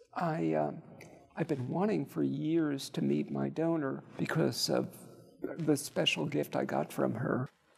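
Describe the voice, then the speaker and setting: Noticeable background noise behind a male speaker talking fairly slowly. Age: 60s. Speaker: leukemia survivor, transplant recipient. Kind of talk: interview, personal testimony. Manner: halting, many hesitations.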